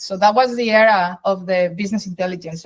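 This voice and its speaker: This woman, with a Spanish accent, speaks at a medium pitch and a fairly quick pace, her intonation fairly even. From Colombia. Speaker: data science executive. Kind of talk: interview.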